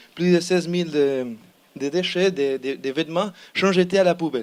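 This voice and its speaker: A man's high pitch in a Spanish accent, at a fairly slow pace with ordinary pitch variation. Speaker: student team member pitching a project. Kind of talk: project pitch presentation. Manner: halting, many repetitions and hesitations.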